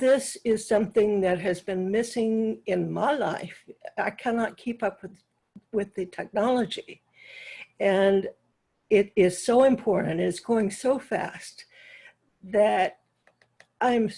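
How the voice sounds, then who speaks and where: A woman speaks in a dark, mellow tone at a very slow pace. Her intonation stays fairly even, broken by long, frequent pauses. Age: 90s. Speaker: club member asking a question. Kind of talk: Q&A comment at video meeting. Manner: halting.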